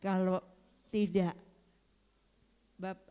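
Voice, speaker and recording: The woman's tone is dark and mellow. She talks at a medium pitch. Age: 70s. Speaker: church member giving testimony. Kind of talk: testimony. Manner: halting.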